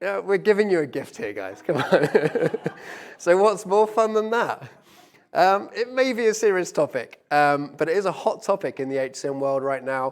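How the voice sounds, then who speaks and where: With a British accent, a man talks at a moderate pace, using a high pitch and lively intonation. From UK. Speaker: business executive. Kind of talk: conference presentation. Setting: stage with live audience and stream.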